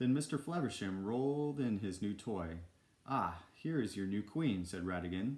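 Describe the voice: With lively intonation, someone reads aloud in a plain way.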